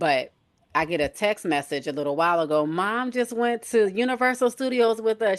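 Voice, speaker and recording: In an American accent, a normal speaking voice moves at a moderate pace with ordinary pitch variation over a quiet background. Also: woman. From Michigan, US Midwest. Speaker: nurse and health coach. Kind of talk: casual chat. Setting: live stream.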